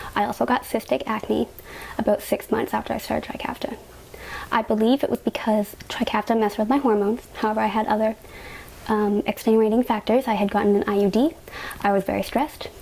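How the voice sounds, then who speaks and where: Delivered at a very fast pace with a Canadian accent, the speech comes over noticeable background noise. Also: woman, very even loudness. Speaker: patient sharing health experience. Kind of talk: personal testimony vlog. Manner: casual, uses fillers.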